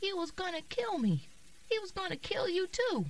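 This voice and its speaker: A woman puts on a squeaky character voice at an extremely high pitch, speaking at a moderate pace over clear background noise. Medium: read story.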